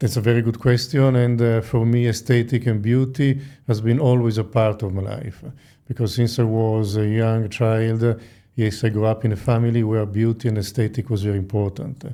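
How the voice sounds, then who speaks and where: A man with an Italian accent talks at a fairly quick pace in a medium pitch, his tone dark and mellow. His intonation stays fairly even on a very clean recording with a silent background. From Italy. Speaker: plastic surgeon. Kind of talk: interview. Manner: hesitant with frequent fillers.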